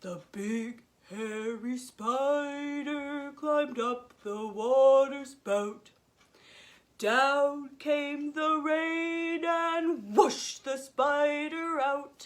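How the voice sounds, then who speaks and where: Someone uses a put-on character voice, pitched high and delivered at a very slow pace. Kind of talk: children's nursery rhyme. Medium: read story.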